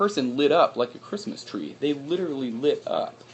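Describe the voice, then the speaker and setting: A man talks in an American accent. The intonation comes across lively. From US Midwest (South Dakota). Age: 30s. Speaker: exercise physiologist. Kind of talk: live stream fundraiser talk. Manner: casual, halting with fillers.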